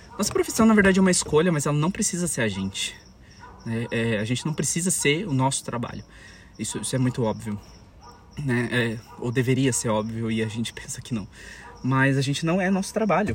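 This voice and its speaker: A man with a medium pitch at a fairly quick pace, with very wide pitch swings and long, frequent pauses. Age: 20s. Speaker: podcaster. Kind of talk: solo podcast monologue. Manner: hesitant, many fillers.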